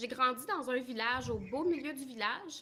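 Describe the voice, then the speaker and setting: A high-pitched woman's raised, projected voice with ordinary pitch variation, amid noticeable background noise. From Quebec. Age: 20s. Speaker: dairy farmer's wife. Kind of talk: interview.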